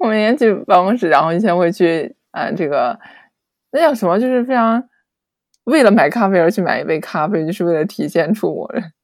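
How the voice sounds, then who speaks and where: This woman's voice sits at a medium pitch and moves at a fairly quick pace. Her pitch swings very widely. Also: very clean recording, silent background. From China. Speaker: podcast guest, former worker abroad. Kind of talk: casual chat.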